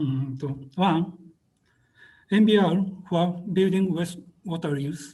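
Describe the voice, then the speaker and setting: In a Japanese accent, the speaker talks at a very slow pace with a dark, mellow tone, fairly even intonation, and long, frequent pauses. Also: man, high pitch for a man. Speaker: webinar presenter, water engineer. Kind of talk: presentation. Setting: video call. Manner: halting, hesitant.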